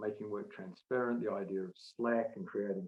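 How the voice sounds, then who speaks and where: This is a man with a normal speaking voice, medium in pitch and with ordinary pitch variation. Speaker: management consultant and author. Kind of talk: webinar presentation. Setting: online webinar.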